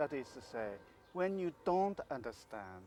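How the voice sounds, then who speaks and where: A man speaks with a Japanese accent. His pace is fairly slow. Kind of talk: interview. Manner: halting, many fillers.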